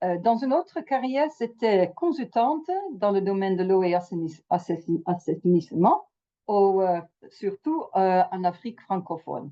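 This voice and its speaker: At a fairly slow pace, a woman with a medium pitch speaks using lively intonation. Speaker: mediator and trainer. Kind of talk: webinar presentation. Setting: video call. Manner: halting.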